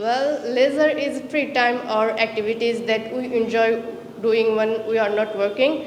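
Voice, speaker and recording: A woman's fairly high pitch at a fairly slow pace, with fairly even intonation, very even loudness, audible room echo and noticeable background noise. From Bangladesh, Chattogram. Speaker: language student. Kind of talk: practice interview. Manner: halting, with fillers.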